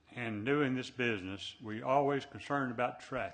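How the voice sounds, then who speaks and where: A man with a Southern US accent speaks at a fairly slow pace. His medium pitch has ordinary variation. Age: 80s+. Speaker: planning commissioner. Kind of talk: public meeting discussion. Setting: city planning meeting.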